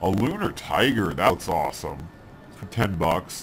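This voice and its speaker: Ordinary pitch variation marks a man's speech while music runs in the background. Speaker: gaming video host. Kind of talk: game commentary.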